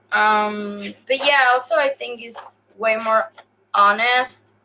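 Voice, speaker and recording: A woman talks with a fairly high pitch and fairly even intonation. Music is playing behind her. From Chile, coast. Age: 30s. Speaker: punk guitarist and illustrator. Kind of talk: interview. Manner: hesitant, many fillers.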